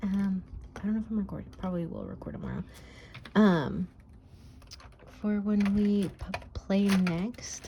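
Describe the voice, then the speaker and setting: A soft-spoken woman at medium pitch, flat and monotone, at a fairly slow pace with long, frequent pauses. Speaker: budgeting YouTuber. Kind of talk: casual chat. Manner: hesitant, many fillers.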